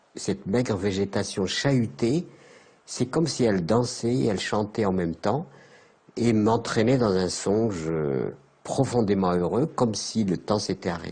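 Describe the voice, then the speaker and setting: Fairly low and dark, mellow in tone, a man's voice moves at a fairly slow pace with lively intonation and very even loudness. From Algeria, Saharan oasis town. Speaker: elder recounting his life. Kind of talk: documentary interview testimony. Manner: halting.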